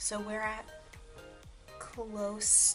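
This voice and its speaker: A woman is soft-spoken. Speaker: beauty youtuber. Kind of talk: product review. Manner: quiet, speaking softly.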